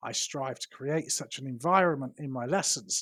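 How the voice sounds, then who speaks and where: Lively intonation carries a voice with a British accent, recorded dry and close with no echo. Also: man, very clean recording, silent background. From London, England. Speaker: English teacher. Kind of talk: teacher self-introduction to camera.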